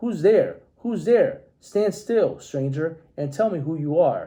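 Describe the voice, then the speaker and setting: Putting on a growling character voice, a man speaks high for a man and at a fairly slow pace. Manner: menacing, demanding.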